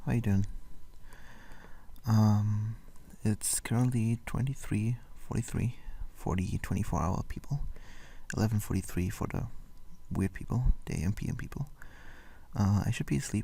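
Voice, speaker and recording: A man speaks quietly at a moderate pace with long, frequent pauses, his fairly low voice dark, mellow and somewhat breathy, with ordinary pitch variation. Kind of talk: casual late-night talk to camera. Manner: whispered; quiet, rambling.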